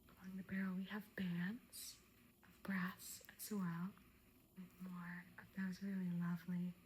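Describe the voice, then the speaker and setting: Speech unfolds at a very slow pace. The delivery is soft-spoken. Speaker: antique arms and armor collector, ASMR creator. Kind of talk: ASMR show and tell.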